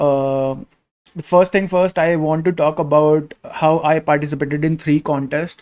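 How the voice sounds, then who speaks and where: Monotone, flat intonation with a non-native accent. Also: man, dry, close sound with no echo. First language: not English. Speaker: crypto security auditor and video creator. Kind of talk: casual tutorial-style vlog. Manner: halting, many fillers.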